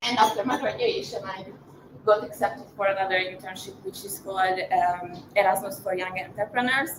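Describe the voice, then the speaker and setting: A woman talks at a mid-range pitch while clear background noise runs underneath. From Hungary, Budapest. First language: Hungarian. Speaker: marketing professional, invited speaker. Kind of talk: personal talk at live event. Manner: halting, many fillers.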